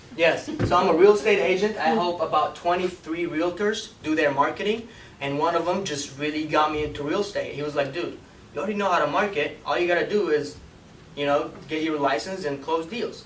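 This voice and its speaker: A fairly quick pace and ordinary pitch variation, with noticeable background noise and audible room echo. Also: man, high pitch for a man. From Iraq, moved to US at twelve. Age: 20s. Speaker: marketing instructor. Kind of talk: lecture. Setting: classroom with audience. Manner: casual, filler-heavy.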